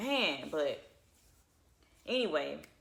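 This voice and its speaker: A woman speaks in an animated, bright, sharp tone. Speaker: channel owner sharing personal testimony. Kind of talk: testimony. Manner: fast.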